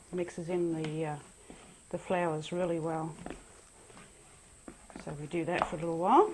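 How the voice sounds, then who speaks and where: Noticeable background noise sits behind a woman's voice. She speaks at a moderate pace in a fairly low pitch. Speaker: home cook. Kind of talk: casual cooking demonstration.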